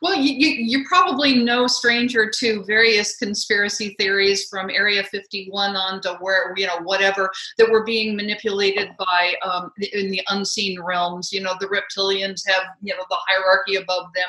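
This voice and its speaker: A woman at medium pitch talks at a moderate pace with hardly any pauses over noticeable background noise. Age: 60s. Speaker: author. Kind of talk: interview. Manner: animated.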